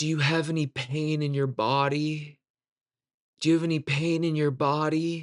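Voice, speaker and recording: In a put-on character voice, a man speaks raspy and fairly high, with monotone, flat intonation at a moderate pace. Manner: pious, solemn.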